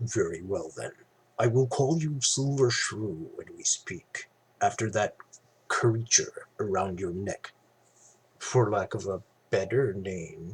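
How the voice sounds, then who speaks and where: In a put-on character voice, the speaker moves at a fairly slow pace with lively intonation and long, frequent pauses. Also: man, medium pitch for a man. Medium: read story. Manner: sly.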